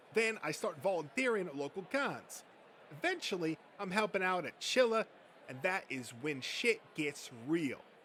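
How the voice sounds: In a put-on character voice, the speaker uses a bright, sharp tone with big pitch swings. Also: man, high pitch for a man, moderate pace.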